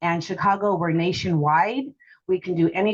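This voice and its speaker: Speaking at a moderate pace, a woman uses a fairly low pitch and fairly even intonation. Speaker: title insurance representative. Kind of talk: panel discussion. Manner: loud.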